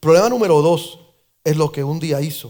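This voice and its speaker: The man's voice carries an animated tone. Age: 60s. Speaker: pastor. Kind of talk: sermon. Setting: church.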